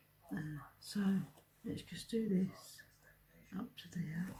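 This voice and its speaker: The speech carries ordinary pitch variation over noticeable background noise. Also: woman. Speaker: card maker. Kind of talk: craft tutorial talk to camera.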